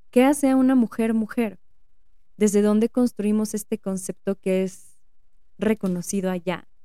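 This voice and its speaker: Her voice has a dark, mellow tone as a woman speaks at a medium pitch and a fairly slow pace with fairly even intonation. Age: 30s. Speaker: psychotherapist podcast host. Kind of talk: solo podcast monologue. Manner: reflective.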